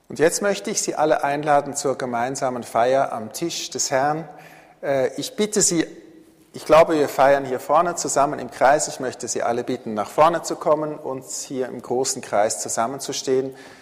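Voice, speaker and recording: A man with a fairly high voice, ordinary pitch variation and a moderate pace, amid noticeable background noise. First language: Swiss German (speaking German). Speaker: pastor. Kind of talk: sermon. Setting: church.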